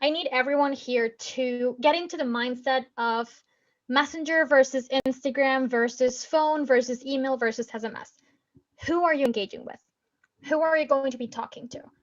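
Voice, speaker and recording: Her high pitch holds fairly even intonation while this woman's loudness swings a lot. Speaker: marketing trainer. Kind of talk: webinar presentation. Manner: fast.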